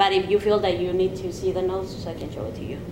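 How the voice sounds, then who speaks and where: Audible room echo and noticeable background noise accompany a woman as she talks. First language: not English. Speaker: student counselor in role-play. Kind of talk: mock counseling interview. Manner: halting.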